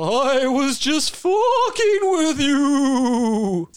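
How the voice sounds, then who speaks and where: A man's put-on character voice at extremely high pitch. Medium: actual play. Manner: playful and crude, then spooky warning.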